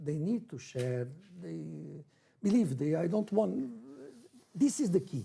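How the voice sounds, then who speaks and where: A dark, mellow tone comes through in this somewhat breathy delivery. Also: man. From Brazil, then Portugal from age 11. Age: 60s. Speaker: football coach. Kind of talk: interview. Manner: halting non-native English.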